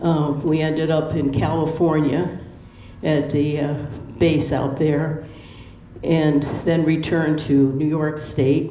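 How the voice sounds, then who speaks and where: Audible room echo follows a woman with an American accent whose voice is very deep and low in pitch. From Pennsylvania. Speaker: retirement community resident. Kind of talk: personal life story. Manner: halting.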